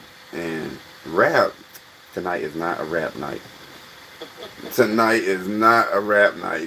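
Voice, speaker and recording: Noticeable background noise sits behind this man. His fairly low voice shows ordinary pitch variation. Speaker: livestream host, comedic commentator. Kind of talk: casual livestream chat. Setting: live stream.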